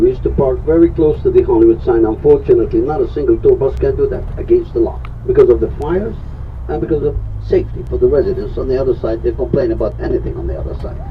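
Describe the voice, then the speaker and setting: Noticeable background noise runs through the clip. A man speaks very fast over it. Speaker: tour guide. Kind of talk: guided tour commentary.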